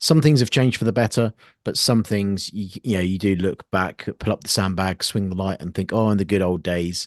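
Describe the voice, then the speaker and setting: A man with a British accent, fairly low pitch and ordinary pitch variation at a fairly quick pace, in a dry, close sound with no echo and a quiet background. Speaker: podcast host and army veteran. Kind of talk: interview.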